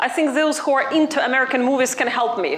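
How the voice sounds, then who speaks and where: A woman's high voice in a Ukrainian accent, with audible room echo and noticeable background noise. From Ukraine. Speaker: university lecturer. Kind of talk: workshop presentation.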